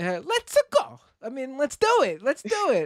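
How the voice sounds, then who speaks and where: In a New York accent, a man talks with very wide pitch swings, the sound dry and close with no echo. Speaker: streamer. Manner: animated, emphatic.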